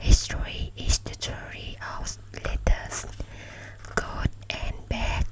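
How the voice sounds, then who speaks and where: A woman whispers at a very slow pace, leaving long, frequent pauses. Noticeable background noise runs behind her. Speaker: ASMR creator. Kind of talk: ASMR book reading. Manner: whispered; soft-spoken.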